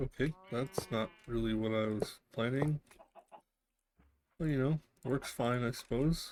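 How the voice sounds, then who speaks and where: Quiet and at a fairly slow pace, a man speaks in a medium pitch with ordinary pitch variation and long, frequent pauses. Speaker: vtuber gamer. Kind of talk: let's play commentary. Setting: home, window open.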